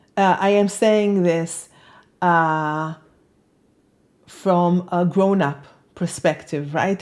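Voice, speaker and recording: In a very clean recording with a silent background, a woman speaks with a non-native accent. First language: not English. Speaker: self-help author and video host. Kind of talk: personal talk to camera. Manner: halting, many fillers.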